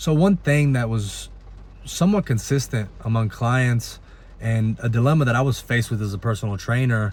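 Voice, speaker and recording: An ordinary speaking voice from a man with an American accent, medium in pitch, with ordinary pitch variation and a fairly quick pace. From Italy, then US from age nine. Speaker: personal trainer. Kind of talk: personal story told to camera.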